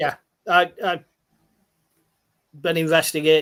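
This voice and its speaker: A man with a Lancashire accent talks in a flat, monotone way. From northern England, Bolton. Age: 50s. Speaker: paranormal investigator. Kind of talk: casual chat.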